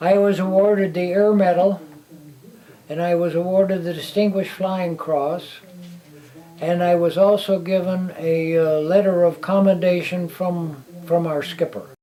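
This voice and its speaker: With a Midwestern American accent, a man speaks in a high pitch at a moderate pace, his delivery monotone and flat, over noticeable background noise. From Illinois, near Chicago. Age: 80s+. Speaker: war veteran. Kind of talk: interview testimony. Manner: halting, repeating words.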